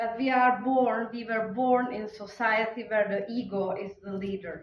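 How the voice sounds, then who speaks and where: A woman's fairly slow speech comes with audible echo from the room. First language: Czech. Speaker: conference speaker. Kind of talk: conference talk.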